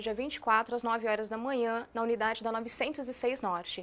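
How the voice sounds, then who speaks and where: Speaking with a São Paulo interior accent, a woman talks at a fairly quick pace in a fairly high voice with fairly even intonation. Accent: caipira São Paulo interior. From interior of São Paulo state, Brazil. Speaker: education coordinator. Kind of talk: TV interview.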